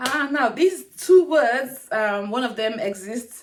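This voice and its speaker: A woman with a Nigerian accent speaks at a fairly slow pace. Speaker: lifestyle YouTuber. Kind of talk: casual talk to camera. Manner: chatty, humorous.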